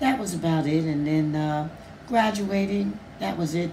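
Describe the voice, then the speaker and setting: A woman speaks with a very deep, low pitch, lively intonation and a fairly slow pace. Noticeable background noise and audible room echo fill the recording. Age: 80s+. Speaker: church elder. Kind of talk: interview. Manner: halting, many fillers.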